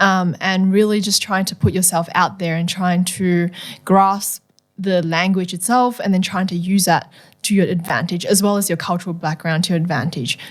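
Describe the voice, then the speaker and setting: A woman with a Mandarin accent, medium pitch and fairly even intonation. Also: moderate pace, very clean recording, silent background. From Malaysia, moved to Australia around age 10. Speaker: medical school applicant, ESL student. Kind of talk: casual podcast interview.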